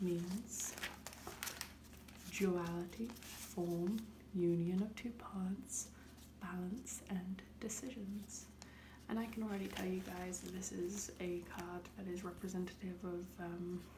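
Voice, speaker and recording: Soft-spoken, the voice moves at a very slow pace. Noticeable background noise is present. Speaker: ASMR creator. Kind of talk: soft spoken ASMR tarot reading.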